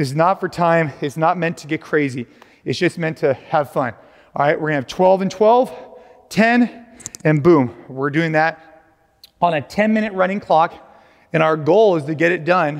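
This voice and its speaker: Speech comes at a moderate pace with ordinary pitch variation and long, frequent pauses. The background is quiet. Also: man. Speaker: fitness coach. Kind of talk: workout instruction. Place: gym. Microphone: lapel.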